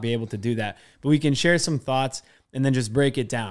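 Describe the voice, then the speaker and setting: The speaker moves at a fairly quick pace with ordinary pitch variation against a quiet background. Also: man. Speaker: podcast co-host. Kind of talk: casual chat. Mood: skeptical, wry. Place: studio. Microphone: studio mic.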